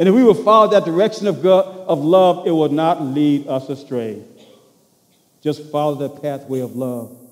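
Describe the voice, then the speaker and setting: A man speaks at a moderate pace with lively intonation. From US South, rural Louisiana. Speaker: pastor. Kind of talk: sermon. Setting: church. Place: church. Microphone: headset.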